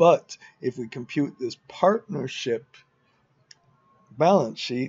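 With the background quiet, a man takes a fairly slow pace as he talks. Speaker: financial modelling instructor. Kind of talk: tutorial. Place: garden. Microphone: webcam.

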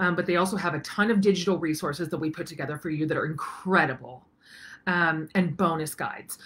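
A woman's fairly low voice at a fairly quick pace, with ordinary pitch variation. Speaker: online course host. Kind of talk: casual vlog chat. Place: home room. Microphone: webcam.

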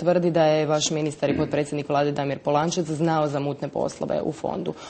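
A woman talks at a fairly quick pace. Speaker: TV interviewer. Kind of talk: TV interview. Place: hall.

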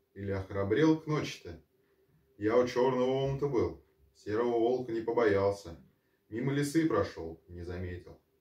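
Audible room echo surrounds the voice. A man speaks at a fairly low pitch. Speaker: storyteller. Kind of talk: bedtime story reading with character voices. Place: home room. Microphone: camera far.

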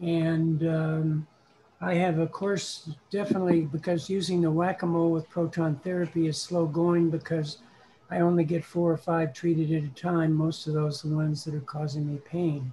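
A man's monotone, flat delivery over light background noise. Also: moderate pace. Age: 70s. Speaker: prostate cancer patient in support group. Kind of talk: audience questions in online meeting. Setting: video call. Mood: matter-of-fact about illness. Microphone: video call.

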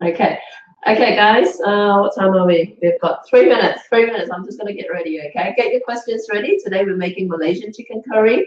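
A woman speaks very fast at a medium pitch, with ordinary pitch variation and big swings in loudness. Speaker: cooking demonstrator. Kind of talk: live cooking demonstration stream. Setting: live stream with webcams. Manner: hesitant, many fillers.

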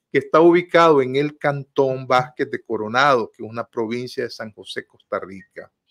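A man speaks at a moderate pace. His loudness swings in a big way. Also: quiet background. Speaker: host of a political talk show. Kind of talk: news commentary. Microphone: video call.

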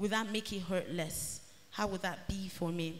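With light background noise, a woman speaks at a fairly slow pace and with fairly even intonation. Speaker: novelist. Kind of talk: author panel talk and reading. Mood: reflective, personal. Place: hall. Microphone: handheld.

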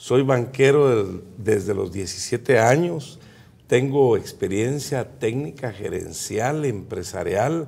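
Somewhat breathy, the voice moves very slowly with lively intonation. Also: man. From Guatemala, Quiché department. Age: 50s. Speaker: presidential candidate; candidate. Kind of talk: political interview. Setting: studio. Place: studio. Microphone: lapel.

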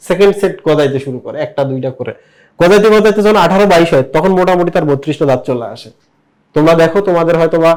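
With an animated tone and lively intonation, a man speaks at a high pitch. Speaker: biology teacher. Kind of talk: whiteboard lecture. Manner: animated, lots of rhetorical questions.

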